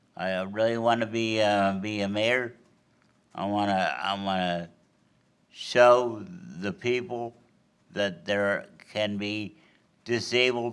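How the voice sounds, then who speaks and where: A man speaks very slowly in an American accent. His pitch is fairly low. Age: 60s. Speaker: mayoral candidate. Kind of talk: closing statement at candidate forum. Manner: halting, with repetitions.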